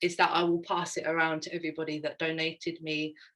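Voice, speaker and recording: With a London accent, a woman speaks at a fairly quick pace in a bright, sharp tone. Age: 30s. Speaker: fashion designer. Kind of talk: slide presentation. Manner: hesitant, many fillers.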